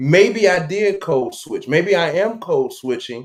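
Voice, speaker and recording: A man at a fairly slow pace. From Chicago South Side, US. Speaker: podcast co-host. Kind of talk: casual chat.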